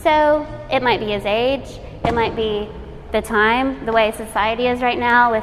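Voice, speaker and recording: Music plays behind a woman with a fairly high pitch who speaks at a moderate pace with ordinary pitch variation. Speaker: arts educator, nonprofit director. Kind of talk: workshop presentation. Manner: halting, self-correcting.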